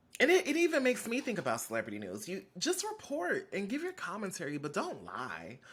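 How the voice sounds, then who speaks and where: Hardly any pauses break up the fairly quick pace of this speech. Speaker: podcast host. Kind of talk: casual commentary. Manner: fast.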